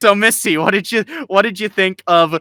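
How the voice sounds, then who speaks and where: A man speaks at a very fast pace with a bright, sharp tone, an animated delivery and ordinary pitch variation. The recording is very clean with a silent background and a dry, close sound with no echo. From Colorado. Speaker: podcast co-host. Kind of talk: casual chat.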